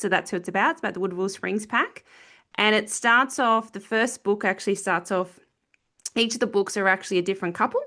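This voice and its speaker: A woman with an Australian accent speaks at a fairly high pitch with ordinary pitch variation, her tone bright and sharp against a quiet background. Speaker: author. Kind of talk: casual interview chat. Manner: hesitant, many filler ums.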